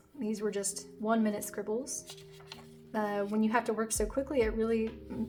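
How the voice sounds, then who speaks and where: With music in the background, a woman speaks at a moderate pace in a fairly high pitch with fairly even intonation. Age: adult. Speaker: beginner artist, video creator. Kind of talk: narrated sketchbook tour.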